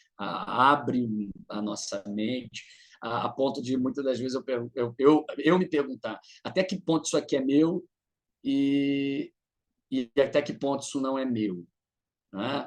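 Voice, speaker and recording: With long, frequent pauses, a man talks at a fairly slow pace in a fairly high voice, using ordinary pitch variation. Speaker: psychoanalyst presenting in supervision group. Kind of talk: online group presentation. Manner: hesitant, many repetitions.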